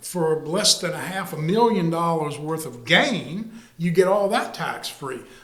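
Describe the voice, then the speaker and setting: A man with a high voice speaks fairly slowly and with lively intonation, over noticeable background noise and audible room echo. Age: 70s. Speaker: retired real estate executive, market analyst. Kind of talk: podcast interview. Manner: halting.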